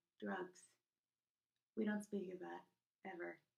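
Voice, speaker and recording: A soft-spoken woman's voice. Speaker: YouTuber reviewing PSAs. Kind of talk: casual vlog. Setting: recording in a bathroom at home. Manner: hesitant, many fillers.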